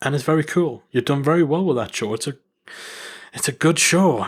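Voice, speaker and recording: With a northern English accent and ordinary pitch variation, a man speaks in a very clean recording with a silent background. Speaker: podcast host. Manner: playful, self-deprecating.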